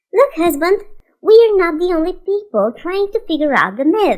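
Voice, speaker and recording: A squeaky, female-sounding put-on character voice at an extremely high pitch for a woman, moving at a moderate pace. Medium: read story.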